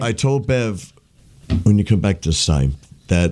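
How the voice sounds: With an unremarkable speaking voice, a man talks at a fairly low pitch. His pace is fairly slow and his intonation lively.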